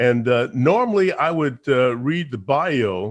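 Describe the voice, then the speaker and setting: Ordinary pitch variation over a quiet background. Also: man. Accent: American. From New York (Harlem). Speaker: radio and TV personality, talk show host. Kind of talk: interview chat show. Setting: livestreamed online show. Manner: halting, many fillers.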